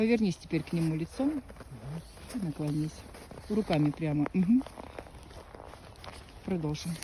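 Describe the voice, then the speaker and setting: A woman with a fairly low pitch and lively intonation speaks at a moderate pace, leaving long, frequent pauses, while noticeable background noise runs underneath. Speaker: psychic healer performing rituals. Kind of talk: casual commentary during a filmed ritual.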